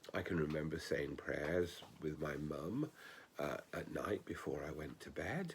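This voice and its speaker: A man speaks with a very deep, low pitch and vocal fry. His pace is fairly slow. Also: fairly even intonation. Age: 60s. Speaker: ordained minister. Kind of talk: spoken reflection.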